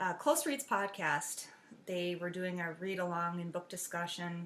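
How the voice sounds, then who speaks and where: The woman's tone is bright and sharp. She talks at a fairly slow pace. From US Upper Midwest. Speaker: podcaster. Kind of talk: casual chat. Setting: home dining room. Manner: halting, many fillers. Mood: relaxed, cheerful. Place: home room. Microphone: webcam.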